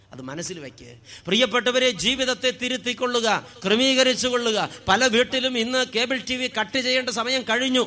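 A man with an extremely high pitch uses a raised, projected voice with big swings in loudness. Noticeable background noise is present. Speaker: priest. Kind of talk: sermon. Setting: stage with audience. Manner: animated.

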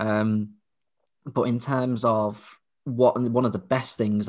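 In a very clean recording with a silent background, a man with an English accent speaks with fairly even intonation. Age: 20s. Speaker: podcast co-host, visually impaired father. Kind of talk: casual chat.

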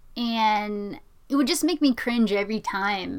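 A woman with an unremarkable speaking voice, medium in pitch with ordinary pitch variation, at a fairly slow pace over a very clean recording and a silent background. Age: 20s. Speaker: podcast co-host. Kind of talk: casual discussion.

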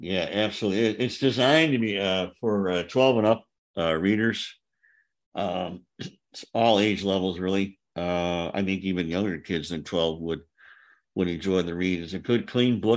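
A man's very deep, low voice at a moderate pace with ordinary pitch variation and a quiet background. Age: 60s. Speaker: author. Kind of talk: interview.

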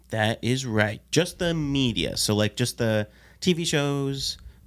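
The man speaks at a very slow pace. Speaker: podcast co-host. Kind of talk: quiz hosting; casual chat. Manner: animated.

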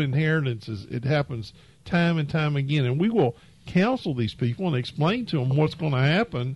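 This man has a fairly high pitch and an American accent. His voice is somewhat breathy, with lively intonation. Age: 70s. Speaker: financial advisor. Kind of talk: casual chat. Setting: studio.

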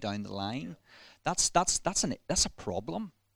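A bright, sharp tone with a slight Northern Irish accent at a moderate pace, dry and close with no echo, on a very clean recording against a silent background. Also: man. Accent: slight Ballymena. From Northern Ireland, Ballymena. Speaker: minister and church planter. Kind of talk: casual interview. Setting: church building.

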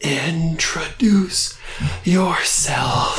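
A man puts on a breathy character voice. His pitch sits high.

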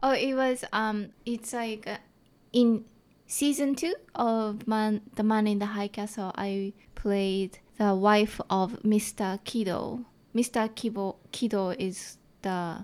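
A woman with a strong Japanese accent speaks at a very slow pace in a fairly high pitch with ordinary pitch variation. The recording is very clean, with a silent background. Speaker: comedian. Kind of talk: casual interview. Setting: studio.

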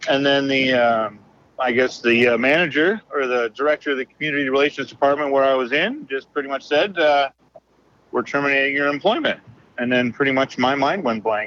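This is a plain, everyday voice at a fairly quick pace with ordinary pitch variation. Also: man, fairly high pitch for a man. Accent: American. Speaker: former sports mascot. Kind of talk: interview. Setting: phone call, driving in a car.

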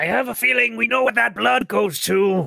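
Putting on a raspy character voice, a man speaks in a raised, projected voice at a high pitch and a moderate pace. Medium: actual play.

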